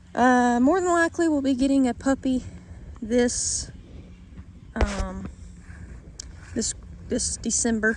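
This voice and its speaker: A woman's very slow speech with long, frequent pauses over noticeable background noise. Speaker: vlogger on homestead life. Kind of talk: casual vlog update. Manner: halting, many fillers and repeats.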